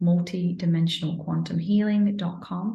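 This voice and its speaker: Somewhat breathy and with a Manchester accent, a woman speaks at a fairly low pitch and a moderate pace with fairly even intonation. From northern England, Manchester. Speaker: energy healer. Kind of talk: informal promotional talk to camera. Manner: hesitant, many fillers.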